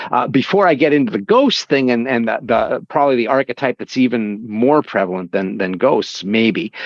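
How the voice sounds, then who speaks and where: Using an unremarkable speaking voice with an American accent, a man talks at medium pitch and a moderate pace, with lively intonation and hardly any pauses. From Appalachia, US. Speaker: podcast host. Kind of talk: casual chat.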